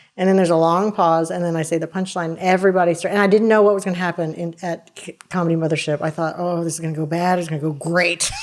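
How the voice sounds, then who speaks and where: Noticeable background noise sits behind a woman talking very fast at a fairly low pitch, in a monotone, flat intonation with hardly any pauses. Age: 50s. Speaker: stand-up comedian. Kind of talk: casual chat.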